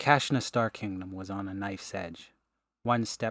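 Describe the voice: Against a quiet background, someone does plain reading aloud.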